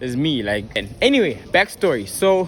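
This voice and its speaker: There is noticeable noise in the background. The speaker is a man. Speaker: YouTuber. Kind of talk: casual vlog monologue. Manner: halting.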